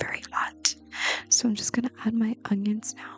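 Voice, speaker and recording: Whispering comes at a fairly slow pace. Music plays in the background. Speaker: ASMR creator, home cook. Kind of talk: ASMR-style cooking tutorial, soft-spoken explanation. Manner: whispered, soft-spoken.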